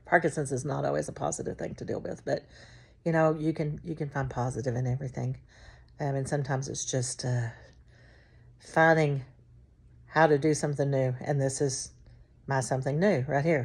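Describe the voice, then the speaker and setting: On a very clean recording with a silent background, a woman speaks with a very deep, low pitch and vocal fry. Her intonation is fairly even, and her fairly quick pace is broken by long, frequent pauses. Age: 60s. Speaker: video blogger with Parkinson's, former special education teacher. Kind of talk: casual vlog monologue. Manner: hesitant, many fillers.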